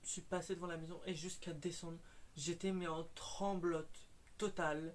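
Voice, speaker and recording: This is a man with a high-pitched voice. He talks at a fairly slow pace. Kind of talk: casual talk to camera, personal paranormal anecdote. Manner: hesitant, with stutters and fillers.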